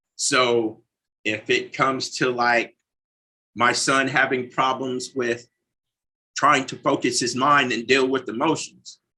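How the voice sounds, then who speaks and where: Speaking very slowly with long, frequent pauses, a man with a Southern US accent uses a medium pitch, a bright, sharp tone and monotone, flat intonation. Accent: US South. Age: 40s. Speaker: recovering addict, mission manager. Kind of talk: interview conversation.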